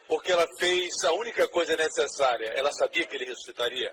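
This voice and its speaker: A man speaks at a moderate pace. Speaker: preacher / pastor. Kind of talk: sermon preached to a congregation.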